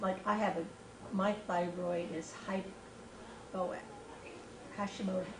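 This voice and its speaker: Speaking very slowly with long, frequent pauses, a woman with an American accent keeps a medium pitch in a monotone, flat delivery. The room echo is audible, and background noise is noticeable. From California. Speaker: church member. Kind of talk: casual chat.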